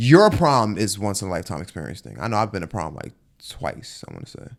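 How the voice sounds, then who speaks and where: In a very clean recording with a silent background, a man with an American accent talks at a very fast pace, with fairly low pitch and lively intonation. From New York. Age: 20s. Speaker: podcast host. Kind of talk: casual chat.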